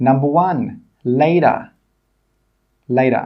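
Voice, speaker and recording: Speech comes at a very slow pace with ordinary pitch variation. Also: man. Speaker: English pronunciation teacher. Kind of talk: tutorial. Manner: slow, clear demonstration of words.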